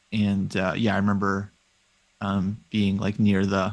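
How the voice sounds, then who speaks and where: Against a quiet background, a man with a West Coast US accent speaks at a moderate pace and a fairly low pitch. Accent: General American, West Coast. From US West Coast, Los Angeles. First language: Russian. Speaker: chess professional. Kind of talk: interview.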